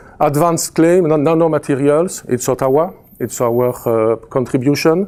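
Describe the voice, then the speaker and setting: Speaking at a fairly slow pace with a slight Belgian French accent, a man has a dark, mellow tone and ordinary pitch variation. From Belgium. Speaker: chemistry professor. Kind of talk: presentation. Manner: halting, many fillers.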